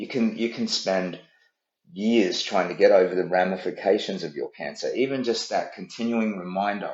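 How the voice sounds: With audible room echo, a man speaks at a moderate pace in a low voice that has a slightly mellow tone and ordinary pitch variation.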